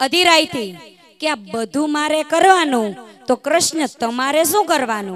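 The sound is dry with no echo, with lively intonation over light background noise. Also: woman. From Gujarat. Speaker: community speaker; speaker. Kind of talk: stage speech. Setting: stage with audience. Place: stage. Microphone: handheld.

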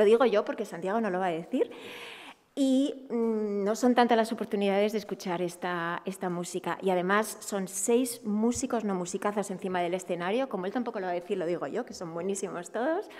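A woman with an Asturian accent talks at a fairly quick pace, her medium pitch moving with ordinary variation. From Asturias. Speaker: festival organizer. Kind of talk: press conference; press conference remarks. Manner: halting. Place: meeting room. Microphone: podium.

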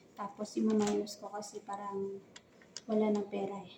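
With noticeable noise behind her, a woman talks very slowly. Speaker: vlogger. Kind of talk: casual vlog narration. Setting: walking through a mall.

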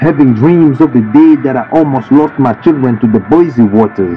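Music plays in the background as a man with a medium pitch speaks with lively intonation. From DR Congo, Bukavu. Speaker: poet. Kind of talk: spoken word poetry. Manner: dramatic.

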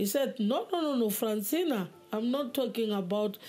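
Somewhat breathy and dark, mellow in tone, a woman speaks fairly slowly with lively intonation. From South Africa. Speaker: former traditional healer giving testimony; interviewee. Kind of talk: testimony. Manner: halting. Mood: earnest, reflective, sometimes animated. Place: home room.

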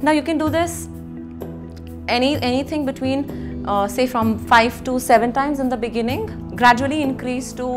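Clear music plays behind a woman as she talks. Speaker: yoga instructor. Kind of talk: tutorial. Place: home room. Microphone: lapel.

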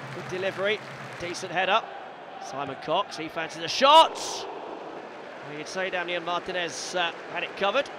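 A man with a high pitch talks at a moderate pace with ordinary pitch variation and big swings in loudness, the sound dry with no echo and noticeable background noise behind him. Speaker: match commentator. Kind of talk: live football match commentary over highlights.

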